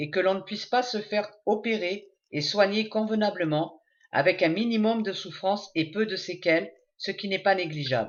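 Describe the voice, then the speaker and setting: With a medium pitch, a woman uses a normal speaking voice. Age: 60s. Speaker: patient with rare disease. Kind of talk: testimony. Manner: formal.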